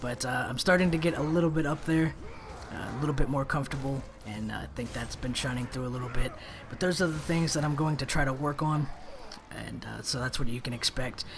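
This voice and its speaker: Speech runs at a very fast pace against noticeable background noise. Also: man, fairly high pitch for a man. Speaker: gaming commentator. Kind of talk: gameplay commentary monologue. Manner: monotone when in pain; trying to be animated.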